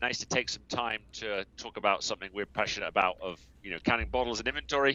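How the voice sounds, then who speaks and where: At a very fast pace, a man talks in a fairly low voice. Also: ordinary pitch variation. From England, Somerset. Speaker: software business co-owner. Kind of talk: podcast interview.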